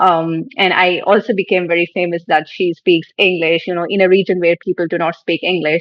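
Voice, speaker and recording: A woman speaks at a fairly low pitch with monotone, flat intonation. Her fairly quick delivery has hardly any pauses. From northern Pakistan. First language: Shina (regional language of northern Pakistan). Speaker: online English teacher. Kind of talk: podcast interview.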